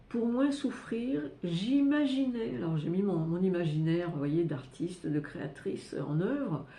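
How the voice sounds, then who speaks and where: Speaking at a fairly slow pace, a woman has a fairly low, somewhat breathy voice with a dark, mellow tone and very wide pitch swings. Audible room echo surrounds her. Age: 70s. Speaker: astrologer and personal development youtuber. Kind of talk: personal testimony to camera. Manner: halting, many hesitations and repetitions.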